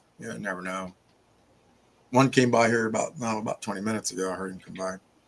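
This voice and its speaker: At a very fast pace, a man with a fairly low voice speaks with vocal fry and big swings in loudness. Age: 60s. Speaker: hobby shop owner. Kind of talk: casual chat.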